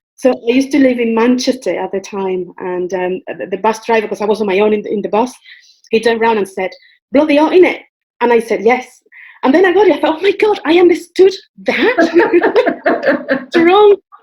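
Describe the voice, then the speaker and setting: A woman with a Spanish accent speaks at a fairly quick pace, with very wide pitch swings. She leaves long, frequent pauses while music plays in the background. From Spain. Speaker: transformation coach. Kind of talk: interview.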